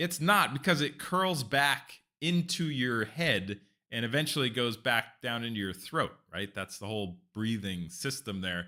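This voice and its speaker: Speaking at a fairly slow pace with a West Coast US accent, a man has a medium pitch, a bright, sharp tone, very wide pitch swings and an animated tone, in a very clean recording with a silent background. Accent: General American (West Coast). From California. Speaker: streamer, cooking channel host. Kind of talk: live stream chat. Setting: live stream. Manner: casual, animated.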